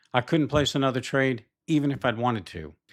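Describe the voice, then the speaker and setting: This man has a normal speaking voice, a medium pitch and a fairly quick pace. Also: very clean recording, silent background. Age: 60s. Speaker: retail futures trader and YouTuber. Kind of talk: first-person vlog narration with chart walkthrough. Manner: conversational storytelling.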